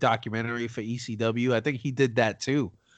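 The man's voice sits at a medium pitch. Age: 30s. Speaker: wrestling podcast host. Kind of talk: casual chat. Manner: animated.

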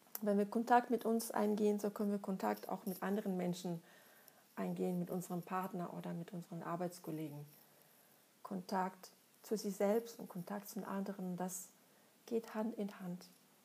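A woman with a Russian accent speaks in a dark, mellow, somewhat breathy voice at a moderate pace, leaving long, frequent pauses. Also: medium pitch for a woman, fairly even intonation. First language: Russian (speaking German). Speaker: psychologist and author. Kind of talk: monologue answering listener questions.

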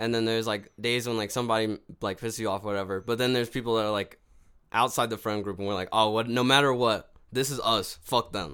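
On a very clean recording with a silent background, a man talks very fast at a medium pitch with fairly even intonation. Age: 20s. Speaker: podcast co-host. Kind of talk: casual chat.

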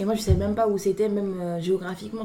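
Over noticeable background noise, a woman with a medium pitch speaks very fast in a flat monotone. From Paris suburbs, France (Clamart). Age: 20s. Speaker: graduate student. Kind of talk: casual chat.

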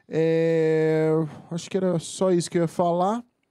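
In a very clean recording with a silent background, a man with a Brazilian accent speaks with a fairly high pitch, a dark, mellow tone and fairly even intonation. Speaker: podcast producer. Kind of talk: casual chat.

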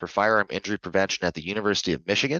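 Pitched fairly low, this man has a plain, everyday voice. His pitch moves in an ordinary way. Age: 30s. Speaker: podcast host and advocacy organizer. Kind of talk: interview.

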